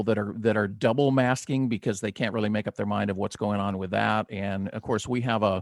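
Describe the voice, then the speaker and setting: Against a quiet background, a man with a West Coast US accent is heard in a dry, close sound with no echo. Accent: General American, West Coast. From Southern California. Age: 60s. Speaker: talk radio podcast host. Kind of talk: casual interview chat.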